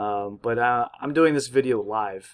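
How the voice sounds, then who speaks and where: A man's medium-pitched voice comes through over a quiet background. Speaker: university student making tutorial videos; student tutorial maker. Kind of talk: tutorial. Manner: monotone; hesitant, many fillers. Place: home room.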